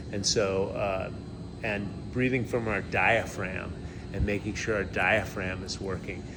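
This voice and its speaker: A man at a fairly slow pace with ordinary pitch variation, in audible room echo. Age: 60s. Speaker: health influencer. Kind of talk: interview.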